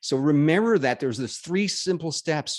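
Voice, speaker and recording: Against a quiet background, a man with a Northern Ontario accent speaks at a moderate pace in a fairly high pitch, his tone animated and his pitch swinging very widely. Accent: Canadian, Northern Ontario. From Canada, Northern Ontario. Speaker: business networking speaker. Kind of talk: webinar presentation.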